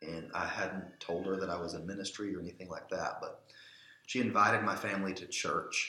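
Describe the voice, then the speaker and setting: A man speaks fairly quickly, and the room adds clear echo. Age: 30s. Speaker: church elder and pastor. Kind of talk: casual interview conversation.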